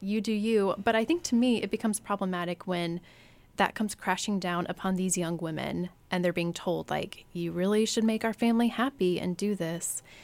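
In a plain, everyday voice and an American accent, a woman of medium pitch speaks at a fairly quick pace with fairly even intonation, on a very clean recording with a silent background. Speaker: former debutante and sociology researcher. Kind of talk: interview.

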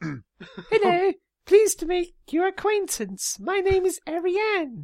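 Using a put-on character voice at an extremely high pitch, the speaker goes at a fairly slow pace. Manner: polite, greeting.

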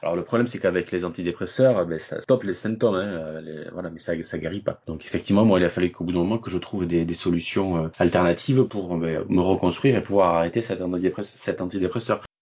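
A man talks very fast, with hardly any pauses. His very deep, low voice moves with ordinary pitch variation. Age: 40s. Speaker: online shop owner, burnout survivor. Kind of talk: interview. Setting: remote recording from home. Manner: hesitant, with fillers.

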